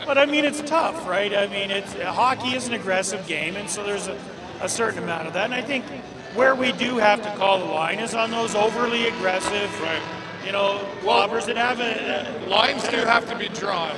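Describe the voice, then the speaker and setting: Moderate pace and ordinary pitch variation beneath loud background noise. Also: man. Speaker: interview guest. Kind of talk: interview answer. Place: stadium. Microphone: handheld.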